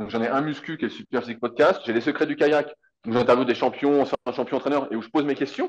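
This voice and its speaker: A man rattles along at a very fast pace, his fairly high pitch showing ordinary variation. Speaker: fitness coach and content creator. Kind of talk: casual interview chat. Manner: animated.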